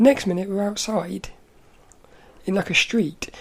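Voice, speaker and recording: The woman's voice is medium in pitch and somewhat breathy. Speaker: podcast host. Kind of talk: casual monologue recounting dreams.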